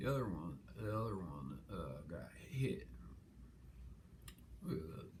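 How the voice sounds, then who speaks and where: In a very slow delivery full of long, frequent pauses, a man with a very deep, low pitch makes very wide pitch swings, and audible room echo surrounds him. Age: 70s. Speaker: interviewee. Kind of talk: casual interview. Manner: halting, many restarts.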